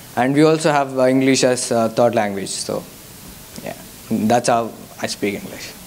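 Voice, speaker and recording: Recorded with noticeable background noise and audible room echo, a man with a Telugu accent speaks at a medium pitch with fairly even intonation. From India. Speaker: guest speaker, mission worker. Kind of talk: testimony with Q&A. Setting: church youth service. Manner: halting.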